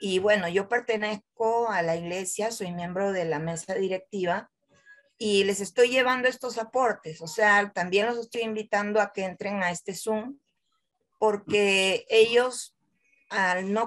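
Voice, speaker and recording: A woman's fairly high voice, a plain, everyday voice, at a fairly slow pace with ordinary pitch variation and a quiet background. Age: 60s. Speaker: wheelchair user and church laywoman. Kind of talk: personal testimony in Q&A. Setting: video call. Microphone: video call.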